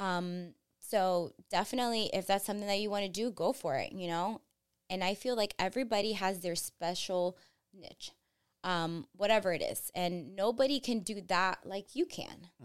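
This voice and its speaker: In a very clean recording with a silent background, a woman speaks at a medium pitch and a moderate pace. She has a normal speaking voice with ordinary pitch variation. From New Jersey, US (born in Colombia, moved at five). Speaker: real estate broker. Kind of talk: interview.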